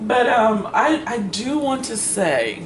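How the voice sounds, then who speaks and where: A woman talks in an animated tone, with audible room echo and noticeable background noise. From Kansas. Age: 60s. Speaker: book reviewer. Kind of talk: casual chat. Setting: livestream. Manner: halting.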